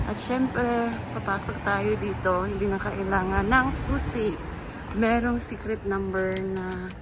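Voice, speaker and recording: Noticeable background noise and audible room echo surround a woman who speaks at a fairly slow pace. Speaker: vlogger, caregiver. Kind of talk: vlog narration. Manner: casual, upbeat.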